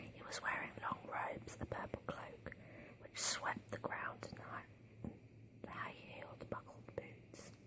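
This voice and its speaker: Whispering at a very slow pace with long, frequent pauses comes through over noticeable background noise. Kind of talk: read story. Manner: whispered; soft-spoken, relaxing.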